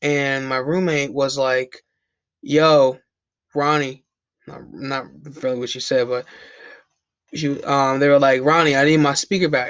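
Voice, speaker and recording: The speech moves at a fairly slow pace with monotone, flat intonation and long, frequent pauses. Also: man, fairly high pitch for a man. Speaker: YouTuber. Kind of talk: storytime. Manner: stuttering; casual, halting.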